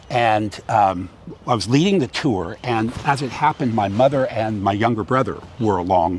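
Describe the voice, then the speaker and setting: Noticeable background noise sits under a speaker with an American accent and ordinary pitch variation. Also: man. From California, US. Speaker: theatre director and acting coach. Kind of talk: interview conversation. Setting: outdoors by a harbour. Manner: loud; animated.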